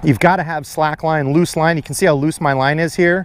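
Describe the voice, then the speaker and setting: At a fairly quick pace, a man speaks in a dry sound with no echo. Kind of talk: casual vlog chat and fishing tips. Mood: excited, happy. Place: waterside. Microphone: phone near.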